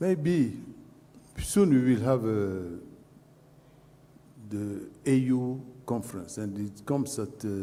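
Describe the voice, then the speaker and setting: With a French accent, a man speaks at a very slow pace with long, frequent pauses and audible room echo. His medium-pitched voice has a dark, mellow tone and lively intonation. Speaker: panelist. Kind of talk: panel discussion. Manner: halting, many fillers.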